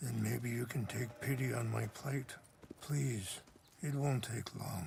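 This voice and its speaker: Doing a raspy, put-on character voice, a man speaks fairly slowly at a medium pitch. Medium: video game. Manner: soft-spoken, measured.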